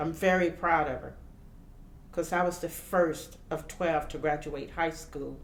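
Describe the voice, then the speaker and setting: A woman with an American accent speaks at a fairly slow pace in a very deep, low pitch. Her intonation is monotone and flat, and room echo is audible. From US South, Louisiana. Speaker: community member, elected school official. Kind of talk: interview testimony. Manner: halting.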